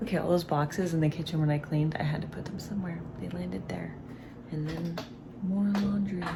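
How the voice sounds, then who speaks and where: A woman speaks at a fairly quick pace, her pitch fairly low with ordinary variation. Audible room echo and noticeable background noise surround her voice. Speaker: lifestyle vlogger. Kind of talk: casual vlog narration. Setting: at home.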